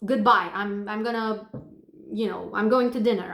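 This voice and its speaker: A fairly high-pitched woman at a moderate pace, monotone and flat in intonation, with audible room echo. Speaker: manifestation coach. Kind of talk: casual advice monologue. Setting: hotel room while traveling.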